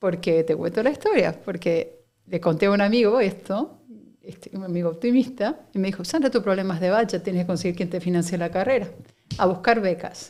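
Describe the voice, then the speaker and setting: With an Argentine accent, a woman speaks at a fairly quick pace, her medium pitch showing ordinary variation. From Argentina, Buenos Aires. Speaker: company director. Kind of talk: interview conversation.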